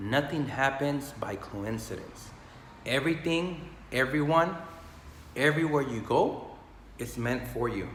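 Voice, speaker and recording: A man's passionate, energetic voice, fairly high in pitch with ordinary variation, at a fairly slow pace with long, frequent pauses, over noticeable background noise. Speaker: health and business motivational speaker. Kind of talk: casual motivational talk to camera.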